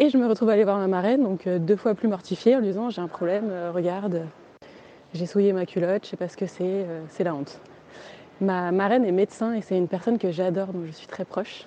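Her dark, mellow voice sits at a medium pitch for a woman, with ordinary pitch variation and a fairly quick pace. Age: 30s. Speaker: interviewee sharing a personal story. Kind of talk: personal testimony.

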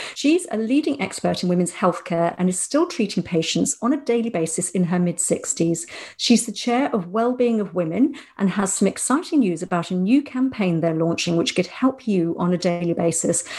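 A woman in a British accent speaks at a medium pitch and moderate pace with lively intonation. Her tone is dark and mellow, somewhat breathy, over a quiet background. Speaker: podcast co-host. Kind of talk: casual chat.

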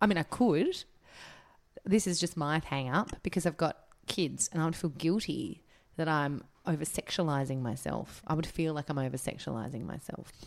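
Vocal fry with an Australian accent on a very clean recording with a silent background. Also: woman, very deep, low pitch for a woman, ordinary pitch variation, moderate pace. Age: 30s. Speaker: podcast co-host. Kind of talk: casual chat.

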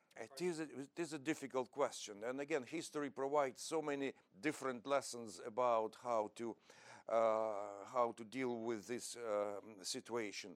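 A man with an unremarkable speaking voice talks at a medium pitch and a moderate pace, with ordinary pitch variation. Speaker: research professor, war commentator. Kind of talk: panel discussion. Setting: stage with audience.

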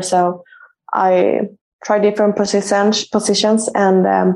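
A woman with a Swedish accent speaks at a medium pitch in a monotone, flat intonation. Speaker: professional football goalkeeper. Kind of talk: interview. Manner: halting.

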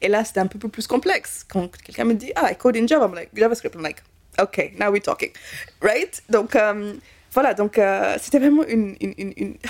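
Speaking at a moderate pace, a woman with a fairly high pitch, ordinary pitch variation and an animated tone shows vocal fry and big swings in loudness. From Kenya, raised in Belgium from childhood. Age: 20s. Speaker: cybersecurity specialist. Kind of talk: interview testimony.

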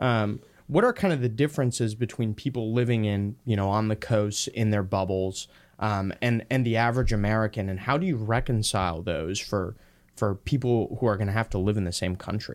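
A man with a plain, everyday voice speaks at a fairly quick pace with fairly low pitch and ordinary pitch variation, in a very clean recording with a silent background. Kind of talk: casual chat.

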